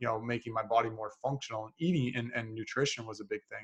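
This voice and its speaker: Speaking at a very fast pace in a Canadian accent, a man keeps a medium pitch and fairly even intonation. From Canada, North Bay, Ontario. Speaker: podcast host, mental performance coach. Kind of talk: casual interview chat. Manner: halting, many filler words.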